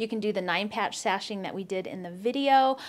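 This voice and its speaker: Here a woman talks at a moderate pace. The rise and fall of her pitch is ordinary. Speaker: quilting YouTuber. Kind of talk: tutorial. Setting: outdoors. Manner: animated. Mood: warm, cheerful. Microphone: lapel.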